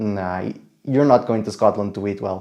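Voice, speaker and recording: A man's dark, mellow voice with a non-native accent, lively intonation and a fairly quick pace. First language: not English. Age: 20s. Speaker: travel vlogger. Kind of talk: casual travel vlog narration. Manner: hesitant, many fillers.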